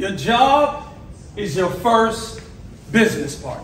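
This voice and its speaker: A loud man with a high pitch talks with lively intonation in an American accent. Audible room echo and noticeable background noise run through the clip. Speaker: motivational speaker. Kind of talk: motivational speech. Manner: passionate.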